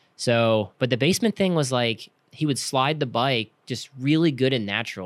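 Lively in intonation, a man with a normal speaking voice talks at a moderate pace and medium pitch. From Pennsylvania, outside Philadelphia. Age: 30s. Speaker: professional flat track racer. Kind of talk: casual interview chat.

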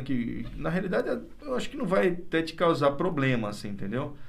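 With very wide pitch swings, a man speaks at a fairly high pitch over noticeable background noise and audible room echo. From interior of São Paulo state, Brazil. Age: 50s. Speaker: doctor. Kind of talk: interview conversation.

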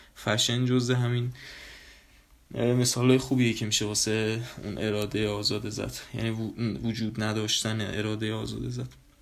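A man speaks at a fairly low pitch with fairly even intonation and long, frequent pauses. Audible room echo fills the recording. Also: moderate pace. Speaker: podcast host. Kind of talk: casual monologue. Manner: casual; low-energy.

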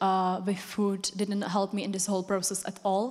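A woman's medium-pitched voice in a Czech accent. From Czech Republic. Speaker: church member sharing testimony. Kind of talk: personal testimony. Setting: stage with audience in church.

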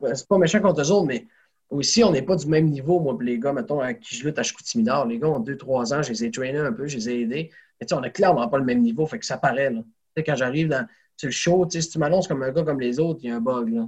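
Somewhat breathy, a man races along at a very fast pace, his fairly high pitch full of lively intonation. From Quebec, Saguenay region (rural). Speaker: professional wrestler. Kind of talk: interview conversation.

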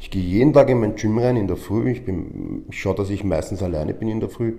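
A man speaks in a somewhat breathy, dark, mellow tone at medium pitch. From Austria, Vienna. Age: 40s. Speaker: professional wrestler and gym owner. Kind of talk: interview. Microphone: microphone problem, switching mics.

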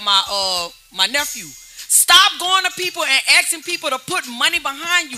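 High-pitched, raised and projected female voice in an American accent, with very wide pitch swings and music in the background. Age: 40s. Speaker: hip-hop artist. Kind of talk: casual chat. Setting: studio.

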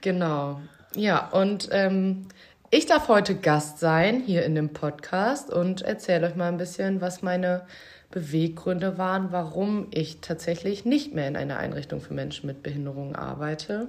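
At a fairly slow pace, a woman with an unremarkable speaking voice talks at a fairly low pitch, her intonation lively. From Münsterland, Germany. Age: 20s. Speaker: former care worker. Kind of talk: casual chat.

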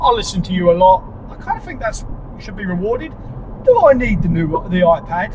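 A man with an American accent and lively intonation, amid noticeable background noise. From Seattle. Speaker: listener voicemail caller.

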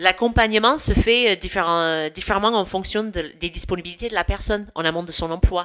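Here a woman with an American accent speaks at medium pitch with a bright, sharp tone. Her pitch varies in an ordinary way, at a moderate pace with hardly any pauses. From United States. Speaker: youth camp program director. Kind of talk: podcast interview.

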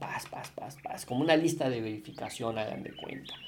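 A man speaks with a central Mexican accent. Background noise is noticeable. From Mexico, Puebla. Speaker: podcast host, business consultant. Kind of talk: casual monologue. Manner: halting, many fillers and repetitions.

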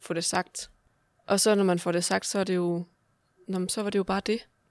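A plain, everyday voice moves at a moderate pace with fairly even intonation. The sound is dry and close with no echo, a very clean recording with a silent background. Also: woman. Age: 20s. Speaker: podcast host. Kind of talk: casual interview.

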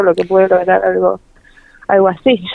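This is a woman's voice. Her pitch is medium. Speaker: mother of a child with achondroplasia. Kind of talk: radio interview.

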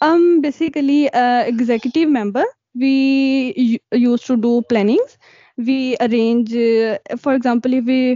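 A woman speaks in a high pitch. Her intonation is fairly even. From Pakistan. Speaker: cloud engineer. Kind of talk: interview.

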